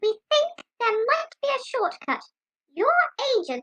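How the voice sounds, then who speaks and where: In a put-on character voice, the speaker goes squeaky and extremely high in pitch at a fairly slow pace. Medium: audio drama. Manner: brisk, businesslike.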